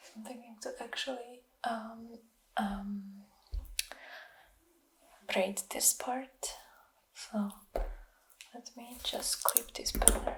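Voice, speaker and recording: Soft-spoken whispering moves along at a very slow pace. Long, frequent pauses break it up. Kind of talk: ASMR hair detangling. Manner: whispered, soft-spoken.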